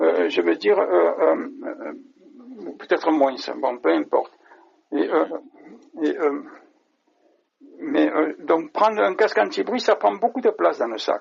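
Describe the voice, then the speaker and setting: Long, frequent pauses break up a man's speech. He talks at a very slow pace. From France, Marseille. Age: 50s. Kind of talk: interview. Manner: halting, many hesitations.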